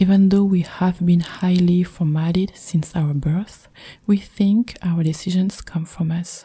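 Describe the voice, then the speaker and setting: A soft-spoken woman with a French accent talks at a fairly slow pace in a calm, monotone, flat delivery. Her voice is fairly low, somewhat breathy, and dark and mellow in tone. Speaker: meditation guide. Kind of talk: spiritual podcast reading. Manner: calm, soft-spoken.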